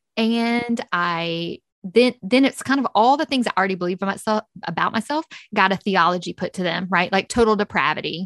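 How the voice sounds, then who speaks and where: Here a woman has an ordinary speaking voice, medium in pitch with ordinary pitch variation. She talks at a fairly quick pace, the sound dry and close with no echo. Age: 30s. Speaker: author and podcaster. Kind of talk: interview testimony.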